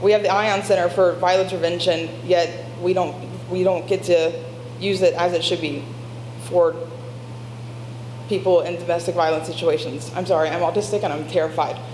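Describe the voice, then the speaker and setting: A woman with an American accent speaks at a moderate pace, her pitch fairly low. There is audible room echo, and her pitch variation is ordinary. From Covington, Kentucky. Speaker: public commenter at city meeting. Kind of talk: public comment testimony. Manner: halting, repeats and restarts words.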